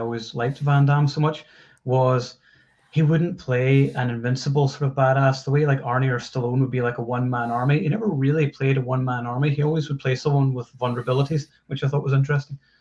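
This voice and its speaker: Very fast, somewhat breathy speech with fairly even intonation. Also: man. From Scotland. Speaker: film website writer. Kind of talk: casual chat.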